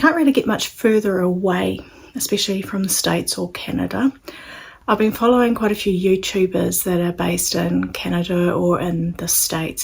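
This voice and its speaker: This woman has a New Zealand accent. She talks at a moderate pace. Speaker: sewing channel creator. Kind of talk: casual vlog introduction. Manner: hesitant with fillers.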